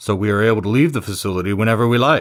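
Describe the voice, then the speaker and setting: A man's put-on character voice, fairly low in pitch and very fast in pace, in a very clean recording with a silent background. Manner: deadpan.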